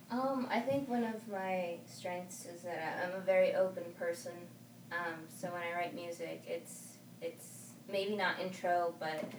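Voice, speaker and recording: A woman speaks at a fairly low pitch with ordinary pitch variation. Noticeable background noise sits behind her. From California and Arizona, US. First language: Spanish. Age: 20s. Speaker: singer and artist. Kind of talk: casual interview chat.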